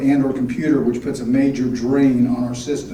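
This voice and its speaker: Amid noticeable background noise and audible room echo, a man with a medium pitch speaks at a moderate pace in a monotone, flat intonation. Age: 60s. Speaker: board candidate. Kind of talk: prepared candidate speech.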